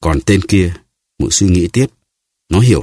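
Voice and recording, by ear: Reading aloud in a natural voice, with ordinary pitch variation and a quiet background.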